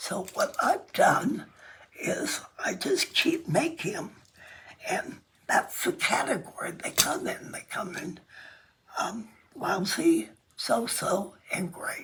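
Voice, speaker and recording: A woman's whisper at a very slow pace, with long, frequent pauses and noticeable background noise. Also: big swings in loudness. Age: 90s. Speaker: quilt artist. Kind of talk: casual interview. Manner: hesitant, with frequent fillers.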